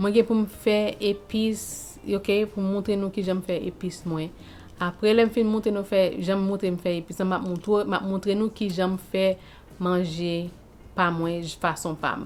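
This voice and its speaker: With a Haitian accent, a woman speaks at a moderate pace and a medium pitch. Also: fairly even intonation. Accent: Haitian Creole. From Haiti, Saint-Marc. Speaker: lifestyle vlogger. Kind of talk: casual vlog chat.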